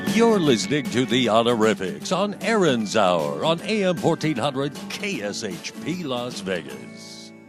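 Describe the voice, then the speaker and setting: Music plays behind a man's medium-pitched voice. He talks fairly slowly with hardly any pauses and very wide pitch swings. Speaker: radio announcer, voice-over artist. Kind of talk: radio station ID announcement.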